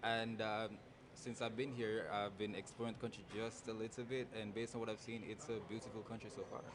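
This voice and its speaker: A man with a Jamaican accent talks at a fairly quick pace in a flat monotone at a medium pitch. Noticeable background noise runs behind him. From Jamaica, Spanish Town. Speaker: pageant contestant. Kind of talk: interview.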